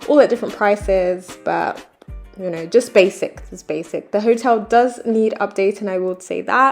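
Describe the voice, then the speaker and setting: An upbeat woman at a moderate pace with ordinary pitch variation, music in the background. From British Jamaican. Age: 20s. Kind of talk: travel vlog narration. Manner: casual, upbeat.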